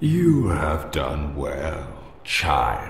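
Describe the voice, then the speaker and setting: This put-on character voice comes through with a clear echo and clear background noise. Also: man. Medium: game stream. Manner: slow, grave, archaic.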